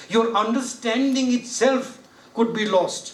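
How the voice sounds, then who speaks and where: In a room with audible echo and noticeable background noise, a man talks in a high pitch at a fairly slow pace. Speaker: judge giving a training lecture. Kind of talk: lecture. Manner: conversational, rhetorical questions.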